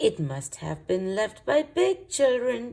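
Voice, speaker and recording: A woman performs a put-on character voice. It has a fairly high pitch and a fairly slow pace. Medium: read story.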